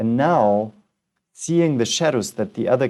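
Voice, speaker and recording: A man speaks with a non-native accent and a dark, mellow tone. His pace is moderate, and the background is quiet. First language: not English. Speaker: philosophy teacher, reading texts aloud. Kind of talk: assisted reading with commentary. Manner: halting.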